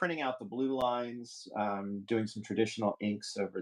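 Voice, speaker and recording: A man talks at a fairly slow pace. His words come out mumbled. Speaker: artist streaming live drawing. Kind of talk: casual live-stream chat while drawing. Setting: live stream. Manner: mumbling, halting.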